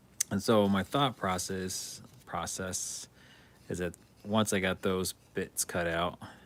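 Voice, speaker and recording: A quiet man's voice, very deep and low, fairly slow and fairly even in intonation. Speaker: hobby streamer building miniature terrain. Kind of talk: casual live-stream chat while crafting. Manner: quiet while concentrating.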